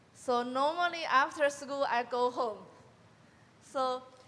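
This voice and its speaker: A woman speaks at a very slow pace in a high pitch, with a Chinese accent and ordinary pitch variation. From China. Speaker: college graduate panelist. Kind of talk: panel discussion. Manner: halting.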